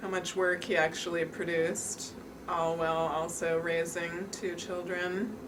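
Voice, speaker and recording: A woman's fairly low voice in an American accent, fairly slow, with fairly even intonation, very even loudness, audible room echo and noticeable background noise. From New York City. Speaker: daughter of the documentary subject. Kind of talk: interview.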